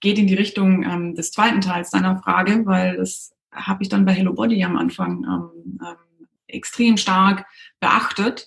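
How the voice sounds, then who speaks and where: A woman's somewhat breathy voice at a medium pitch. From southwest Germany, near Stuttgart. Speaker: cosmetics entrepreneur. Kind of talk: interview. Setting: video call. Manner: halting, many fillers.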